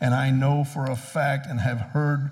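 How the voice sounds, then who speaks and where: A man speaks at a medium pitch in a somewhat breathy voice with fairly even intonation. Audible room echo can be heard. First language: English (speaking German). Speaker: preacher. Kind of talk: sermon.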